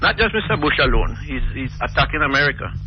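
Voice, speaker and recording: Background noise is noticeable as a man talks. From Jamaica. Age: 60s. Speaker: caller. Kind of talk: call-in talk radio opinion.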